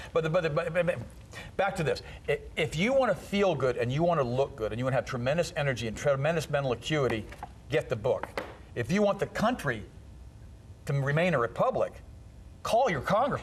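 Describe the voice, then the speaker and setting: Talking at a fairly quick pace with a fairly high pitch and very wide pitch swings, a man leaves long, frequent pauses over noticeable background noise. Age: 50s. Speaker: health author. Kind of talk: talk show interview. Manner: animated.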